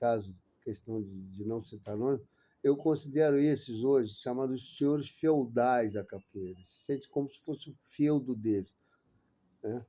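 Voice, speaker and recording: Loudness swings a lot in this man's speech. His tone is dark and mellow, with ordinary pitch variation. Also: medium pitch for a man. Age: 60s. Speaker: capoeira master and interviewer. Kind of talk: interview. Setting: host's study centre.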